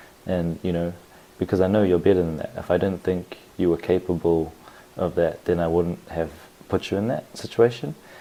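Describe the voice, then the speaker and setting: This man's voice sits very deep and low, with a dark, mellow tone and a New Zealand accent. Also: moderate pace. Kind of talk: casual podcast talk.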